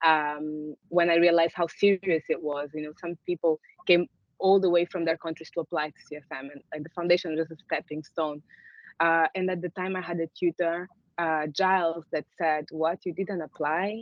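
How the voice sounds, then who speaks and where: A woman talks at a moderate pace with a fairly low pitch and big swings in loudness. Her intonation stays monotone and flat. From Angola (Luanda). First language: Portuguese. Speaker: artist and former fashion student. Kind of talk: panel conversation.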